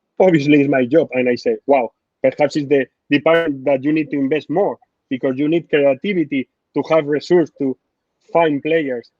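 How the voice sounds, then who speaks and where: With a Spanish accent, a man speaks at a fairly high pitch with fairly even intonation. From Spain. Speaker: football sporting director. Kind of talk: interview. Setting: live online interview. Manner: halting, non-native phrasing; passionate.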